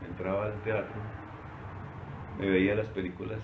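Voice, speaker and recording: Over noticeable background noise and audible room echo, a man speaks at a fairly quick pace with a fairly low pitch. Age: 60s. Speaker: retiree recounting working life. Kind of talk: oral history interview. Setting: recorded by his niece. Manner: halting with repetitions.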